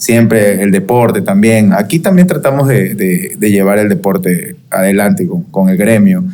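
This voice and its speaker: A man with a strong Guayaquil accent, very wide pitch swings, and noticeable background noise. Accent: strong Guayaquil coastal. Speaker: electrical engineer. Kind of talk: casual panel chat. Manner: rhythmic, relaxed.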